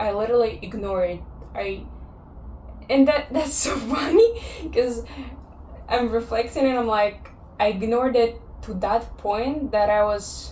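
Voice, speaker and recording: Amid audible room echo, a woman with a fairly high pitch and ordinary pitch variation speaks at a fairly slow pace with long, frequent pauses. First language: Russian or Kazakh. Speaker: vlogger. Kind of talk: personal vlog monologue. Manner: reflective, with pauses.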